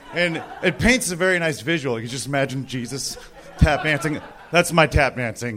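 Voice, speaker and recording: Noticeable background noise sits under a man's fairly high voice. He goes at a moderate pace. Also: lively intonation. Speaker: stand-up comedian. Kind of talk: stand-up; casual chat. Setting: stage with audience. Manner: relaxed, at ease.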